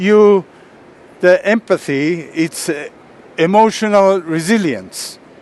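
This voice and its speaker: Over noticeable background noise, a man with a high pitch and ordinary pitch variation speaks at a very slow pace. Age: 70s. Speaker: martial arts master and speaker. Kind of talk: lecture. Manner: halting.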